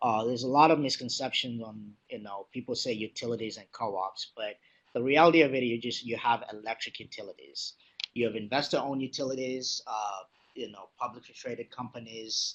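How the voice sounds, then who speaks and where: Speaking at a fairly quick pace, a man holds a medium pitch and fairly even intonation. His loudness swings widely. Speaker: utility executive. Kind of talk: lecture. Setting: webinar. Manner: fast.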